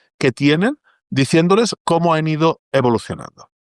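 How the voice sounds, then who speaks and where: A man with a Catalan accent speaks at a moderate pace with lively intonation, the sound dry and close with no echo against a quiet background. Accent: Catalan Spanish accent, retained. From Catalonia, Spain. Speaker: data journalist and technologist. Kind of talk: interview conversation.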